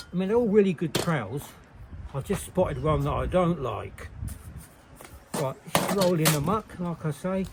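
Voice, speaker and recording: A man with a high pitch and lively intonation speaks at a moderate pace with long, frequent pauses, over noticeable background noise. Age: 70s. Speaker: bricklayer. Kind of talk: tutorial.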